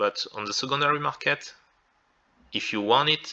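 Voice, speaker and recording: A man talks at a moderate pace. He speaks with a French accent. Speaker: content creator. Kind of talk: tutorial. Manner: halting.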